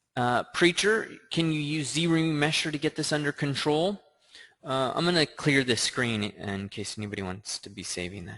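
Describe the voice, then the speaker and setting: A man's bright, sharp voice, fairly high in pitch, with very wide pitch swings, big swings in loudness, a moderate pace, and a quiet background. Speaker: 3D sculpting instructor. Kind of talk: live tutorial Q&A stream. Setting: live stream with screen share. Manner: casual with filler words.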